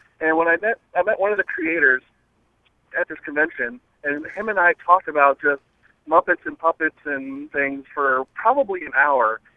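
Ordinary pitch variation runs through a man's fairly high-pitched voice. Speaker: caller. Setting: phone call. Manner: fast talker.

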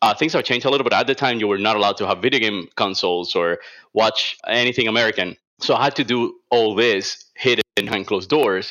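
A man with a Cuban accent, a medium pitch, a bright, sharp tone and a very fast pace. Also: ordinary pitch variation, very clean recording, silent background. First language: Spanish. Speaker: illustrator. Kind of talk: casual interview chat.

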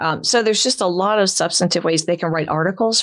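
A woman with an American accent and ordinary pitch variation, over noticeable background noise. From Florida, St. Petersburg. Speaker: elder law attorney. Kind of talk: casual interview.

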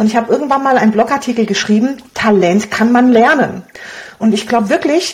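A woman's high voice with lively intonation, at a fairly quick pace. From Romania. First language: Hungarian (speaking German). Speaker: blogger and online business coach. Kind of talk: interview.

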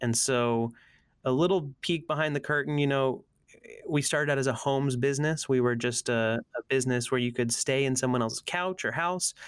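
An ordinary speaking voice from a man with an American accent, medium pitch and very even loudness. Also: ordinary pitch variation, fairly quick pace. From US Northeast, Allentown, Pennsylvania. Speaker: creative strategist. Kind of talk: casual interview chat.

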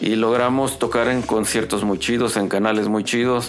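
Music plays in the background as a man speaks with audible room echo. His pitch is medium, his pace moderate and his intonation fairly even. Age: 50s. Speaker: rock guitarist and songwriter. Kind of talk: casual chat. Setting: home studio.

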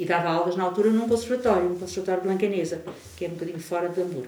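Noticeable background noise and audible room echo surround this recording. A woman talks at a fairly low pitch. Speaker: music teacher and researcher. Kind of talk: casual chat. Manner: animated, laughing.

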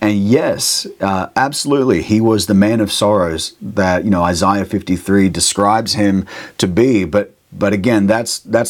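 Here a man speaks with an Australian accent at a fairly low pitch. His pace is moderate, with ordinary pitch variation. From Australia, Brisbane area. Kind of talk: interview, casual chat. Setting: remote call, late at night.

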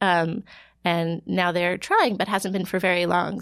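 On a very clean recording with a silent background, a woman with an American accent uses a normal speaking voice, fairly low in pitch with fairly even intonation. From Ohio. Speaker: health researcher. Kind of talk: interview. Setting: studio.

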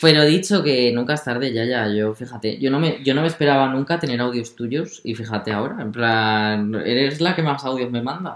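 The speech runs at a moderate pace. There are hardly any pauses. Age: 20s. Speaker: podcast co-host. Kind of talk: casual chat. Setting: grandmother's village home.

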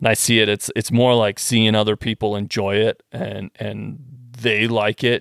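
In a Western Canadian accent, the speaker talks at a moderate pace with vocal fry and monotone, flat intonation, in a very clean recording with a silent background and a dry, close sound with no echo. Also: man, fairly low pitch for a man. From Western Canada. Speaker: gun parts engineer. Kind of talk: casual chat.

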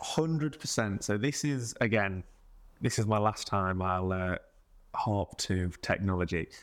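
A man with an East Midlands accent speaks at a fairly slow pace in a fairly low voice, with ordinary pitch variation, very even loudness, and a very clean recording over a silent background. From Mansfield, English East Midlands. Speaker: musician. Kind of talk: casual interview.

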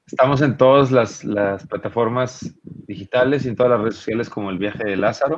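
Speaking with a Mexico City accent, a man has a medium pitch and ordinary pitch variation. He goes at a fairly quick pace with hardly any pauses. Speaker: rock musician. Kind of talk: casual interview.

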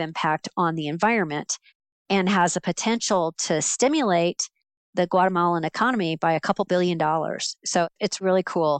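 A woman with an American accent speaks at a moderate pace, pitched fairly low, with fairly even intonation. It's an unremarkable speaking voice. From Central Florida. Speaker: business professor. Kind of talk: interview.

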